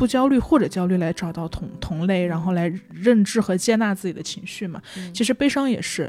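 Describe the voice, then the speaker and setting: Lively intonation comes through in an ordinary speaking voice. The pace is fairly quick, with hardly any pauses. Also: woman, medium pitch for a woman. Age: 20s. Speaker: podcast host. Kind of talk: casual chat.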